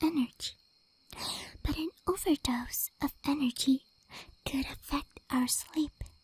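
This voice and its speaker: Soft-spoken whispering moves at a very slow pace. The sound is dry and close, with no echo. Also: woman. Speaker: ASMR vtuber. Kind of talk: ASMR sleep advice talk. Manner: soft-spoken or whispered.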